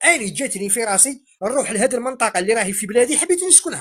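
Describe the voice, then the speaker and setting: With an Algerian accent, a man speaks at a high pitch, his voice making very wide pitch swings. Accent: Algerian dialect, praised as delightful. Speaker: Algerian opposition participant in debate. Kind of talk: heated debate.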